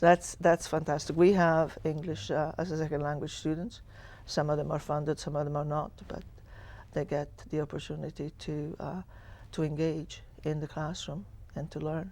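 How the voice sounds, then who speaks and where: A moderate pace with an Italian accent. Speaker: school superintendent. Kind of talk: TV panel interview. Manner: halting.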